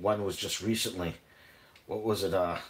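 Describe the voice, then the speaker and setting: At a moderate pace, a man with a New England accent speaks in a very deep, low, somewhat breathy voice. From New England, Boston area. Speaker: cooking vlogger. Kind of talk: live stream cooking chat. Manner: casual, halting with fillers.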